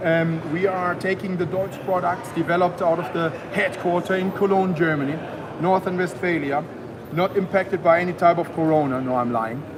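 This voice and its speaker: Over noticeable background noise and audible room echo, a man talks fairly quickly at a high pitch with ordinary pitch variation. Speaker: company representative. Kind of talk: trade show presentation.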